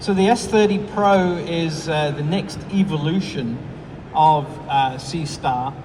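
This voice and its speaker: With audible room echo and noticeable background noise, a man with an American accent speaks at a very slow pace in a fairly high voice with ordinary pitch variation. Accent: foreign accent, noticeable to US audience. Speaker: product support engineer and astro imager. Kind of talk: product presentation. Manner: hesitant, many fillers.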